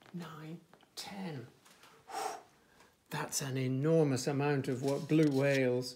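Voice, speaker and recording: A man with an English accent and a gentle tone speaks at a fairly high pitch with fairly even intonation, over light background noise. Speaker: nursery teacher. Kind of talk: children's picture book reading. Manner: gentle, engaging, addressing children directly. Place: home room. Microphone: phone near.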